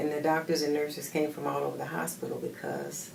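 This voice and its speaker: A woman with a very deep, low pitch is heard through noticeable background noise and audible room echo. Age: 70s. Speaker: patient giving a testimonial. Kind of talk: testimony.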